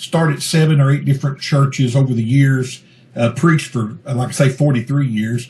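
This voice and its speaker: In a Kentucky accent, a man at medium pitch talks at a fairly quick pace with fairly even intonation. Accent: Kentucky Southern US. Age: 60s. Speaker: pastor and Bigfoot researcher. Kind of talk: interview. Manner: fluent, talkative.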